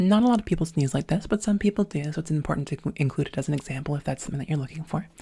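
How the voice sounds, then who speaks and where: A very fast, somewhat breathy woman's voice with lively intonation, very deep, low pitch and a dark, mellow tone. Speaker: voice practice instructor. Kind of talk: tutorial. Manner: speaks in low register.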